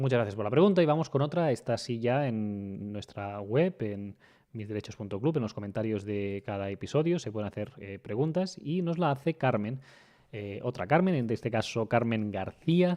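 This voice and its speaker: A man with an ordinary speaking voice talks at a moderate pace in a medium pitch. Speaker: lawyer and podcast host. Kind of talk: podcast Q&A explanation. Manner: conversational with frequent fillers.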